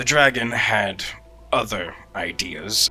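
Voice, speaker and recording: Clear background noise runs beneath a put-on character voice delivered at a fairly slow pace. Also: man, medium pitch for a man. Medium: actual play. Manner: measured, deadpan.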